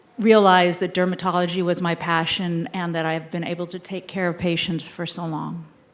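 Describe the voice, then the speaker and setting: This woman talks at a medium pitch with monotone, flat intonation. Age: 60s. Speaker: dermatologist. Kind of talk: panel discussion.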